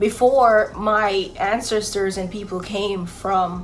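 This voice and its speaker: Music plays in the background as a woman speaks with a Jamaican accent at a very slow pace. Her medium pitch holds fairly even intonation, and room echo is audible. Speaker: YouTuber. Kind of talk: casual vlog chat.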